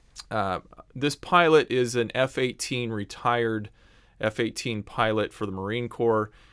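A man's speech has fairly even intonation, set in a quiet background. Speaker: online news host. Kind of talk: commentary. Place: home room. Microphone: studio mic.

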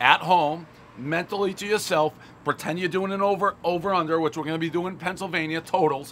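With light background noise, a man talks at a fairly quick pace and fairly even intonation. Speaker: food reviewer. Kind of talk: casual review commentary. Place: street. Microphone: camera far.

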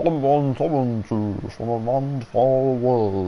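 Over clear background noise, a man puts on a character voice at a medium pitch and speaks at a very slow pace. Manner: booming.

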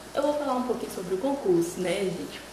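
A woman speaks with ordinary pitch variation. Audible room echo and noticeable background noise accompany her. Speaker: beauty vlogger. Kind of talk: casual vlog chat. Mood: excited, cheerful. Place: bathroom. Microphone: phone near.

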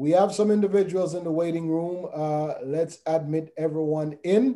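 A man's high-pitched voice in a dark, mellow tone, with ordinary pitch variation at a moderate pace over a quiet background. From Jamaica. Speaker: pastor leading a Bible study. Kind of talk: online Bible study. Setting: video call. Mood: warm, upbeat. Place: home room. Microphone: video call.

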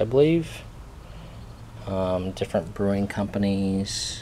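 The voice is a man's, pitched fairly low. It has a dark, mellow tone.

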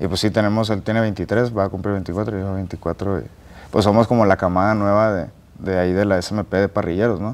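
A man's fairly low voice holds a monotone, flat intonation at a moderate pace. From Monterrey, northern Mexico; Mexico. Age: 20s. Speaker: barbecue cook and content creator; content creator. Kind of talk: interview. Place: studio.

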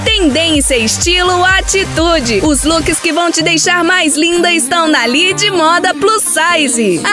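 Clear music plays behind a woman speaking in a raised, projected voice at an extremely high pitch. She talks fairly slowly with ordinary pitch variation, and the sound is dry with no echo. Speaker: voice-over announcer. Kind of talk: radio/store commercial spot read. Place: studio.

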